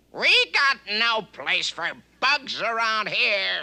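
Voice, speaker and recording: A cartoonish character voice growls at a very slow pace. The pitch sits fairly high. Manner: menacing.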